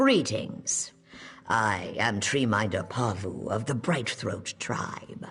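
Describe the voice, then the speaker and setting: A put-on character voice is pitched low. It moves at a very slow pace. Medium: video game. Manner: measured, solemn.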